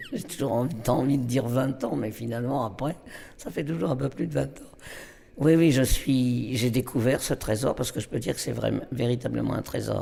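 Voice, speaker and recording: This man talks at a moderate pace in a medium pitch, with a dark, mellow tone, vocal fry, and ordinary pitch variation. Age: 80s+. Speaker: storyteller. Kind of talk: interview. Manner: halting.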